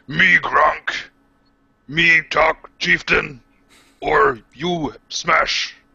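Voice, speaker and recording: A man does a raspy, put-on character voice at a fairly high pitch. He goes at a very slow pace with long, frequent pauses. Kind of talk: broken, primitive speech. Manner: gruff, brutish, blunt.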